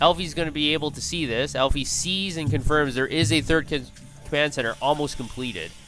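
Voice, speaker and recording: Music plays in the background as the speaker goes at a fairly quick pace. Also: man. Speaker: esports shoutcaster. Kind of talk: esports game commentary.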